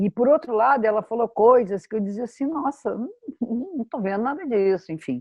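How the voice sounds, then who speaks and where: This is a plain, everyday voice from a woman with fairly high pitch. She speaks at a moderate pace with lively intonation. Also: hardly any pauses. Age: 60s. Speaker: astrologer. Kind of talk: workshop talk.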